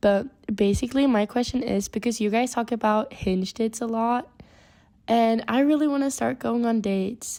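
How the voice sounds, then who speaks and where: Speaking with a slight Swedish accent, a woman keeps a dark, mellow tone, very even loudness, fairly even intonation and a moderate pace. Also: fairly high pitch for a woman. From Sweden. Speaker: caller. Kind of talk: advice question on call-in show.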